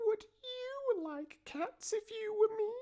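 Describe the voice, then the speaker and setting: A put-on character voice, squeaky and shrill at an extremely high pitch. It speaks at a very slow pace. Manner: passionate, indignant.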